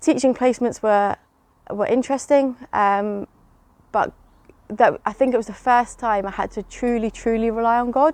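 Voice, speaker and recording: The speaker has an English accent, a moderate pace and fairly even intonation. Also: woman, fairly high pitch for a woman. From England. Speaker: church member sharing testimony. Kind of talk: testimony. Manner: hesitant, many fillers.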